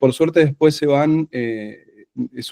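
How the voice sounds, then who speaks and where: This man has a dark, mellow tone and an Argentine accent, speaking at a moderate pace with ordinary pitch variation in a dry, close sound with no echo. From Argentina, Buenos Aires. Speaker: secondary school teacher. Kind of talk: conference presentation. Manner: halting, many fillers.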